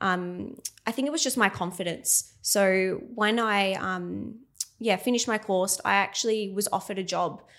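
Ordinary pitch variation in an Australian accent, on a very clean recording with a silent background. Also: woman. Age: 20s. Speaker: nurse and cosmetic injector, clinic owner. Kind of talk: casual interview chat.

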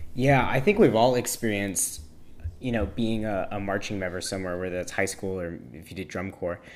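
Here is a man with an ordinary speaking voice. He talks at a fairly quick pace with ordinary pitch variation. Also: fairly low pitch for a man, big swings in loudness. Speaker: drum major and band instructor, podcast co-host. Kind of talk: casual chat.

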